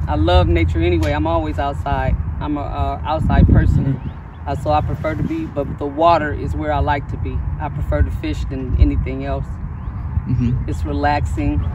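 A woman talks at a fairly quick pace with an American accent. The sound is dry with no echo, set against loud background noise. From Toledo, Ohio. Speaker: recreational angler. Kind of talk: interview. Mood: calm, content. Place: waterside. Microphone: camera far.

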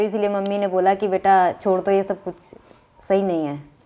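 A woman talks at a moderate pace. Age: 20s. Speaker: social media video creator. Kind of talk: podcast interview. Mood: indignant, defending herself. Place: studio.

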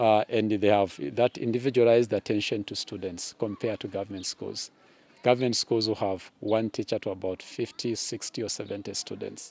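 A man with a fairly low pitch talks at a fairly quick pace in a monotone, flat intonation. The sound is dry with no echo. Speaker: secondary school teacher. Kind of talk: interview answer. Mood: friendly, smiling, explanatory. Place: open country.

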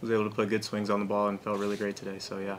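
A fast-paced man with fairly low pitch and a bright, sharp tone

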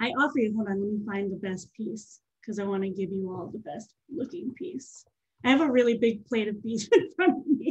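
A somewhat breathy, fairly high-pitched woman's voice at a fairly quick pace, with very wide pitch swings and big swings in loudness. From Nashville, Tennessee; Tennessee. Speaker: poet and farmer; poet. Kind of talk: poetry reading. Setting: video call. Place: home room. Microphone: webcam.

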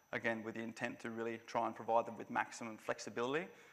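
In an Australian accent, a man rattles along at a very fast pace with a monotone, flat intonation. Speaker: veteran advocate, conference organiser. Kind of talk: conference presentation. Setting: conference venue with live audience. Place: hall. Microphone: podium.

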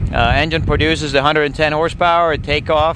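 A man speaks in a dry sound with no echo. Noticeable background noise is present. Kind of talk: interview answer. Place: open country. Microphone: handheld.

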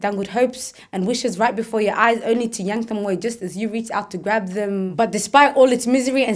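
A woman talks at a fairly quick pace in a fairly high voice, her pitch varying in an ordinary way. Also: quiet background. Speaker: spoken word performer. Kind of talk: spoken word poetry performance, a personal reflective piece. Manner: earnest, shifting from playful and whimsical to sombre and then hopeful. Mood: reflective, earnest. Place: studio.

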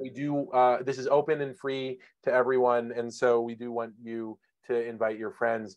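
The background is quiet as a man speaks at a moderate pace. His intonation is flat and monotone. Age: 40s. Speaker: webinar host, former journalist. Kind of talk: webinar moderation. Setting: video call. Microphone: webcam.

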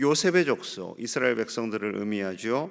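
The pitch shows ordinary variation. The recording is very clean, with a silent background. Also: man. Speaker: pastor. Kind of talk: sermon.

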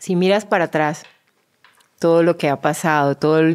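Fairly low in pitch, this woman's voice holds a fairly even intonation at a moderate pace. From Colombia, Bucaramanga. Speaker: podcast host and model. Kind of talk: casual interview.

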